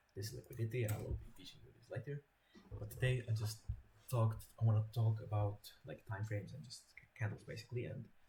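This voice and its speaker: Somewhat breathy and dark and mellow in tone, a voice with a non-native accent moves at a fairly quick pace with long, frequent pauses, fairly even intonation and big swings in loudness. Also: man. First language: not English. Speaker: trading educator. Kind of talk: tutorial. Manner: halting, repetitive. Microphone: poor quality mic.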